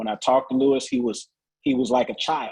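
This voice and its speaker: With fairly even intonation and a fairly quick pace, this is an unremarkable speaking voice. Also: man. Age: 50s. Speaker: naturopathic doctor. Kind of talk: sales pitch.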